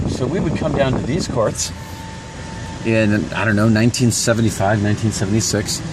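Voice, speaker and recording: Noticeable background noise runs under this voice, with audible room echo. The pace is moderate. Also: man. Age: 50s. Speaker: vlogger. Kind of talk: casual chat.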